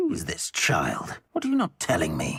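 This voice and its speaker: A put-on character voice growls at a moderate pace. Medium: video game. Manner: condescending, menacing.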